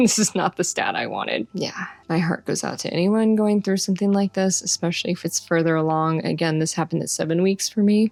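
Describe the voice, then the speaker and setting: A woman's fairly low-pitched voice, fairly even intonation, and fairly quick pace. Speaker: vlogger. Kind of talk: personal vlog. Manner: monotone.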